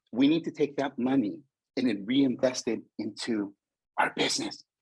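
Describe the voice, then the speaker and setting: A man speaks with a Spanish accent at a moderate pace. His pitch is medium and his tone is animated. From California Bay Area, Mexican family. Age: 50s. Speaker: motivational speaker. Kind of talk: conference talk. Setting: virtual conference.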